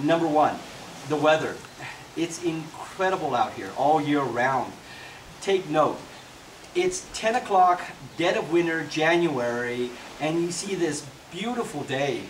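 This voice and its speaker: Amid noticeable background noise and audible room echo, a man with a fairly high pitch and ordinary pitch variation talks at a moderate pace with long, frequent pauses. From US (California and Texas), Mexican-born. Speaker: real estate agent. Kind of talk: promotional talk to camera. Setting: outdoors by a lakeshore.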